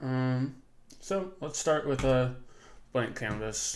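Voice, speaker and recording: The speech comes at a very slow pace. Audible room echo surrounds it. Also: man. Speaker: 3D modeling instructor. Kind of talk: live-streamed tutorial. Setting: live stream with chat. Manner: hesitant, many fillers.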